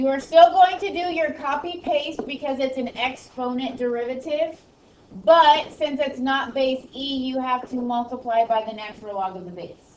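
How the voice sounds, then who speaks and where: A woman with a high pitch speaks at a moderate pace, using lively intonation and big swings in loudness. Noticeable background noise and audible room echo fill the recording. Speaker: high school math teacher. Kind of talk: classroom lecture. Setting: classroom.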